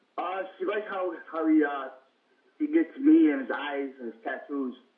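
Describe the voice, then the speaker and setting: A man's loudness swings widely as he keeps up a moderate pace. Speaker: grandson of the guest. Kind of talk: phone interview answer. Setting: phone line. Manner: hesitant.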